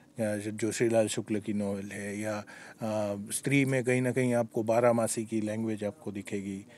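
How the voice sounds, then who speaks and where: A man with a Gujarati accent talks in a fairly low voice, with hardly any pauses. The recording is very clean and the background silent. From Gujarat, India. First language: Gujarati (speaking Hindi). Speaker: screenwriter and lyricist. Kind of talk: interview. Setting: film festival. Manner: hesitant with many fillers.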